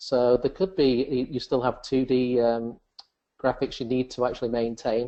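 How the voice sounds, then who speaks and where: This man has an English accent. His pitch sits in the medium range. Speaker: software presenter. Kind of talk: webinar software demonstration. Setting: webcast.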